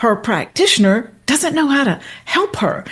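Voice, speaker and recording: Her pitch swings very widely, and her voice is somewhat breathy. The woman keeps a moderate pace. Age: 60s. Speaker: hormone therapy expert. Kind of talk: interview. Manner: animated.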